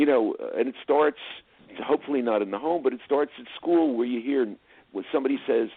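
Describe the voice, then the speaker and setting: With a New Jersey accent, a man speaks at a medium pitch with lively intonation. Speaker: film producer and director. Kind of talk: interview.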